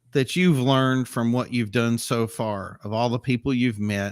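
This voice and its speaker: A man talks at a very fast pace on a very clean recording with a silent background. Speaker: car show host. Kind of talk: casual chat. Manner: loud.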